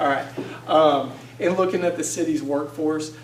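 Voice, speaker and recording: Audible room echo surrounds a man as he speaks. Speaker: city budget director, guest speaker. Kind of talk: presentation. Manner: fast; hesitant, many fillers.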